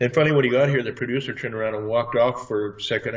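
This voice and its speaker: This man talks at a very fast pace in a somewhat breathy, medium-pitched voice with ordinary pitch variation. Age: 60s. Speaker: martial arts trainer and alleged space program veteran. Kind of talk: interview testimony. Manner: halting.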